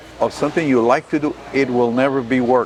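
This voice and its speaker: With an American accent, a man speaks at a moderate pace and a fairly high pitch over noticeable background noise. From Texas, Rio Grande Valley (Starr County). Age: 60s. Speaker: judge and attorney. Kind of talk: interview.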